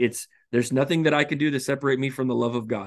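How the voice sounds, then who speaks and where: A man's normal speaking voice, fairly high-pitched, with ordinary pitch variation against a quiet background. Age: 30s. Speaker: pastor. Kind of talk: casual chat.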